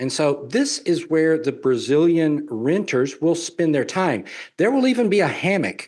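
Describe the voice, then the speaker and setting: A man talks with a Southern US accent. His fairly high voice moves at a fairly slow pace. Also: quiet background. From US South. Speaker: real estate developer and traveler. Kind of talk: webinar presentation Q&A.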